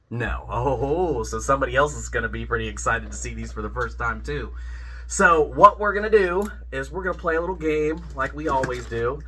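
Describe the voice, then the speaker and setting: Over noticeable background noise and audible room echo, a man talks at a fairly quick pace, his loudness swinging widely. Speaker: YouTube collectibles reviewer. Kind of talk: casual unboxing chat.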